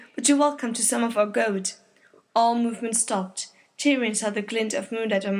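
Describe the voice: Reading aloud, plain and simple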